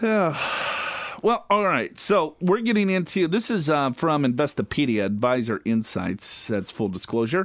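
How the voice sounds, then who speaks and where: A man with a slight Minnesota accent, fairly high in pitch, with very wide pitch swings and very even loudness. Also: moderate pace. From Minnesota, US. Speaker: financial radio show co-host. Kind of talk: casual chat. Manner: trips over words at times.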